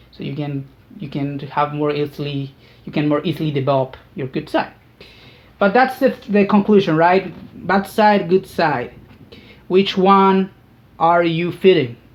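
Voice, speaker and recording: A woman with a Spanish accent speaks at a fairly slow pace in a fairly low voice, with lively intonation, big swings in loudness and long, frequent pauses. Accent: non-native English, Spanish-speaking. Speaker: YouTuber. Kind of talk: casual monologue. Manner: halting, many fillers and repetitions.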